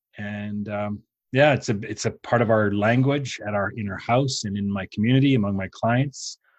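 Fairly low in pitch and fairly even in intonation, the man has an unremarkable speaking voice. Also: moderate pace. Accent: Canadian. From Canada. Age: 50s. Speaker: business coach. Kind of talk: interview.

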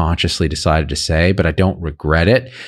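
The recording is very clean, its background silent. A man speaks fairly quickly, with ordinary pitch variation. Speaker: physician and online health commentator. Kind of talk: casual chat, opinionated.

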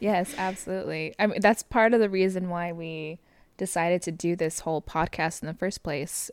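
A woman's normal speaking voice, fairly low in pitch, on a very clean recording with a silent background. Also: ordinary pitch variation, moderate pace. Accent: American. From Southern California. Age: 20s. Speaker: podcast co-host. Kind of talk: casual chat. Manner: frequent laughter, relaxed.

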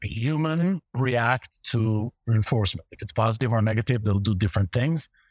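Fairly quick and lively in its intonation, this somewhat breathy voice comes through a very clean recording with a silent background and a dry, close sound with no echo. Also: man, medium pitch for a man. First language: Hebrew. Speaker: fraud prevention executive. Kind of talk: casual interview conversation.

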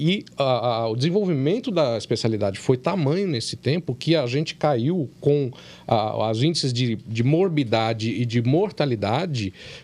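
A man with an ordinary speaking voice, lively intonation and a fairly slow pace, in a very clean recording with a silent background. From Brazil, São Paulo state (São Paulo / Campinas). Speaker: anesthesiologist. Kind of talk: casual chat.

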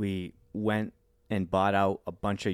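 Recorded very cleanly against a silent background, a man speaks with an American accent. The sound is dry and close, with no echo. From Worcester, Massachusetts. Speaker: business founder. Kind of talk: interview.

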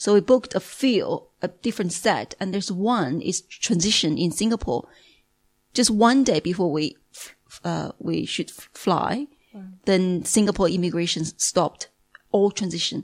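Speaking at a moderate pace with a Chinese accent, a woman uses lively intonation at medium pitch, in a dry, close sound with no echo. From Beijing, China. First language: Mandarin Chinese. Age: 40s. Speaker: language teacher. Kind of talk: testimony. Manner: halting.

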